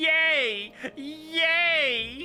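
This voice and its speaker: In a put-on character voice, the speaker holds a high pitch. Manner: cheerful, exaggerated, cartoonish.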